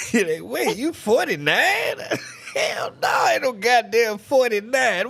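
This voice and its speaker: Against noticeable background noise, a man with an American accent talks at a very slow pace. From US South. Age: 40s. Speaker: livestreamer. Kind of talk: casual chat. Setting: livestream. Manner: animated.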